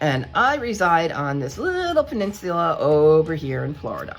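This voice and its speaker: With music in the background, a woman with a New York accent speaks at a fairly slow pace. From New York, Hudson Valley. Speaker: coloring hobby YouTuber. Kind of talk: casual chat.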